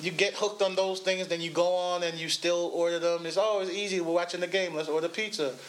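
A man speaks very fast in a high voice, with hardly any pauses. His intonation is flat and monotone, over noticeable background noise. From Jamaica. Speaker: comedian. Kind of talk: casual chat.

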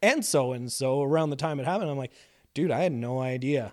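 A man with a plain, everyday voice at a medium pitch, fairly quick in pace, with ordinary pitch variation. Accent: Canadian. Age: 30s. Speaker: improv comedian in recovery. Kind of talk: casual interview. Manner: laughs often.

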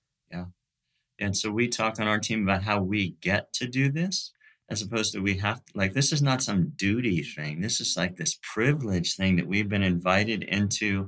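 With an American accent, a man talks at a moderate pace in an ordinary speaking voice of fairly low pitch. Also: ordinary pitch variation. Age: 60s. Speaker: pastor and missions leader. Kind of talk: casual interview chat. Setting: remote call.

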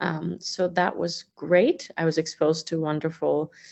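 In a fairly low pitch, a woman speaks at a fairly slow pace with vocal fry and a monotone, flat intonation. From Azerbaijan. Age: 40s. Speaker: arts organization president and violinist. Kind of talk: interview.

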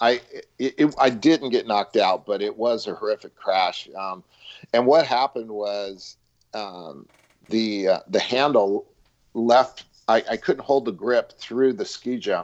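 Speaking at a fairly slow pace, a man uses a normal speaking voice of medium pitch with ordinary pitch variation. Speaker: waterski hall of fame jumper. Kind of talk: casual interview chat.

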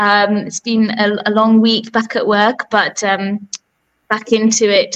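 A British accent marks this woman's speech. Her voice stays at a middle pitch. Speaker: radio host. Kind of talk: radio interview. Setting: radio studio.

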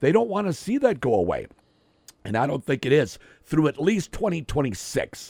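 Dry and close with no echo, the recording has a man at a fairly high pitch with very wide pitch swings, vocal fry and a moderate pace. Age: 50s. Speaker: radio sports host. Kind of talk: casual chat. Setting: studio.

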